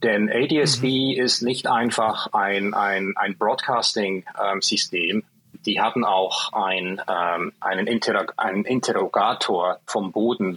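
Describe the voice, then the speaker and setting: Very slow and fairly low-pitched, a man talks with ordinary pitch variation in a dry, close sound with no echo. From Switzerland. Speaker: software developer, physicist. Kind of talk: interview. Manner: halting, with repetitions.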